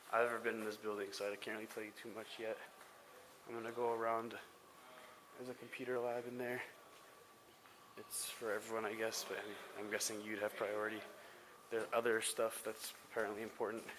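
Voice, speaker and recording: Over noticeable background noise, a man talks at a fairly quick pace with long, frequent pauses. His medium pitch stays in a monotone, flat intonation. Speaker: student vlogger giving campus tour. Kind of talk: casual walking tour vlog. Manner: naturally loud voice; keeping voice down.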